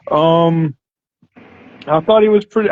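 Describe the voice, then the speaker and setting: This is a man with an ordinary speaking voice and ordinary pitch variation. His pace is fairly quick. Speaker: wrestling fan guest. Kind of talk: casual chat.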